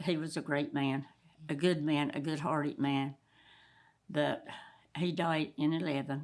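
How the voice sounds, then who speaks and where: Over a silent background in a very clean recording, a woman speaks in a very deep, low voice. Her delivery is flat and monotone, with long, frequent pauses. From Down East North Carolina, island community. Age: 90s. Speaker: retired commercial fisherman. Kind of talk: interview storytelling. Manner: halting, with repeated fillers.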